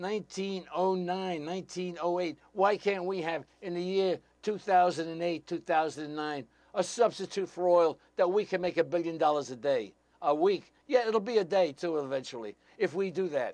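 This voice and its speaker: His voice high, a man talks at a moderate pace with ordinary pitch variation. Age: 80s+. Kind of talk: political talk show monologue. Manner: animated.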